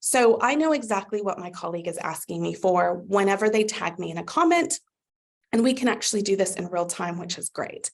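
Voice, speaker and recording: A woman of medium pitch with an American accent and vocal fry, fairly quick, with lively intonation and big swings in loudness. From USA. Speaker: customer success manager. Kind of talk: webinar product demo. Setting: live webinar. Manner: upbeat, conversational.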